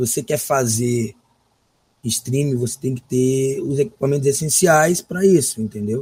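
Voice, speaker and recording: A man speaks at medium pitch with a dark, mellow tone. His voice is somewhat breathy. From Brazil, São Luís (Maranhão). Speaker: gaming streamer. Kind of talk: casual interview.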